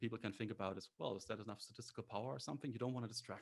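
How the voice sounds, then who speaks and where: The man's voice sits at a fairly low pitch with ordinary pitch variation. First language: not English. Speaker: graduate student, competition finalist. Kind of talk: panel discussion.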